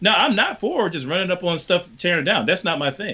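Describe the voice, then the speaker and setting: His intonation is lively. The man speaks very fast. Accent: American. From US South, rural Virginia. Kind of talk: panel discussion.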